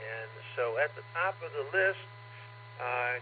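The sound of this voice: A man speaks at a fairly slow pace, his pitch varying in an ordinary way.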